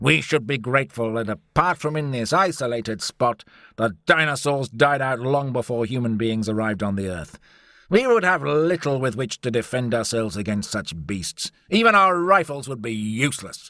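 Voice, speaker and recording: A man speaks in a booming, put-on character voice at a medium pitch and a moderate pace. The recording is very clean, with a silent background. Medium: read story. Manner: pompous.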